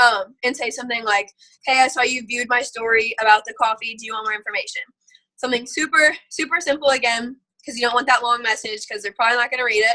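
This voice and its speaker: Her voice is high for a woman, with a bright, sharp tone and fairly even intonation. This woman talks at a very fast pace, her loudness swinging widely. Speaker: network marketing seller giving team training. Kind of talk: online training presentation. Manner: casual, filler-heavy.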